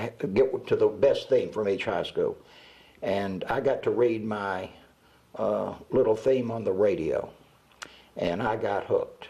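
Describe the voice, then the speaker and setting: Speaking with a Southern US accent, a man goes at a fairly slow pace with long, frequent pauses. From US South (Georgia and Alabama). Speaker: retired radio announcer. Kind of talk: oral history interview. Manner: halting, many fillers.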